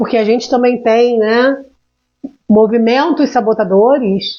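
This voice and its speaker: A woman speaks with ordinary pitch variation, keeping to a moderate pace. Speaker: emotional intelligence mentor. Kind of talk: live stream talk. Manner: animated.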